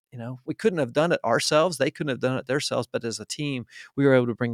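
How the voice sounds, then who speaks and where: Recorded very cleanly against a silent background with a dry, close sound and no echo, a man with a plain, everyday voice and an American accent talks at a medium pitch with fairly even intonation. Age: 50s. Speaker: marketing agency founder. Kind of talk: interview. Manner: frequent fillers and restarts.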